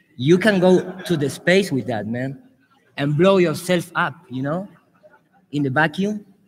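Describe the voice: A man in an Argentine accent with a slightly husky edge, lively intonation and a fairly slow pace. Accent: Argentinian Spanish.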